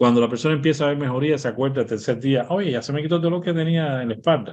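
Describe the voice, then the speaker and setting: A man's voice at a fairly high pitch, very fast in pace, with ordinary pitch variation. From Cuba. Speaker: medical doctor. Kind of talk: interview.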